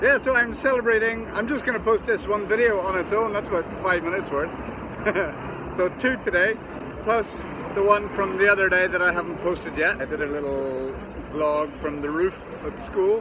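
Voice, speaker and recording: With a raised, projected voice and lively intonation, a man speaks at a moderate pace, the sound dry with no echo and noticeable background noise behind him. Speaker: vlogger. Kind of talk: casual vlog chat. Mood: cheerful, upbeat. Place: street. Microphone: phone near.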